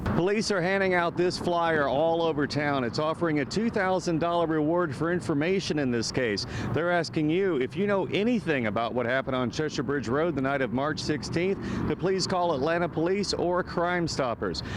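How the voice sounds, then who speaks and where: Speech moves at a moderate pace with hardly any pauses and very even loudness. Pitch varies in an ordinary way, and background noise is noticeable. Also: man, fairly high pitch for a man. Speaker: news reporter. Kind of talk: TV news report.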